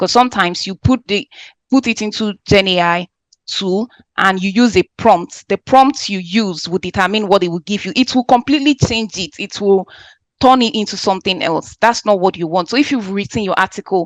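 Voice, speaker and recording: The sound is dry and close, with no echo. A woman with a non-native accent speaks at a moderate pace. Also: medium pitch for a woman, ordinary pitch variation, quiet background. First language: not English. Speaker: lecturer on AI in education. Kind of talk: online workshop lecture answering questions.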